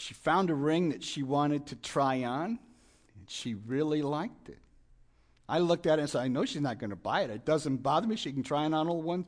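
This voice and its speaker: A man with a plain, everyday voice speaks at a fairly quick pace with a fairly high pitch. His intonation is lively, and the background is quiet. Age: 60s. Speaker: guest preacher. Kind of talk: sermon. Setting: church.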